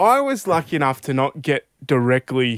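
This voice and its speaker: A man speaks with an Australian accent. The sound is dry and close with no echo, on a very clean recording with a silent background. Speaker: aspiring stand-up comedian. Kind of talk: stand-up comedy, telling anecdotes with dialogue. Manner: conversational, laid-back, deadpan punchlines.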